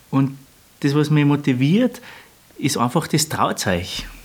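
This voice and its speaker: With lively intonation and a fairly high pitch, a man talks against noticeable background noise. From Austria, Lungau (Salzburg). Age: 30s. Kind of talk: interview.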